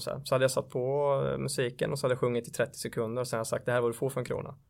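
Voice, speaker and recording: A man speaks very fast at a medium pitch, in a flat monotone. The recording is very clean, with a silent background. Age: 30s. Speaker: sales entrepreneur. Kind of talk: interview.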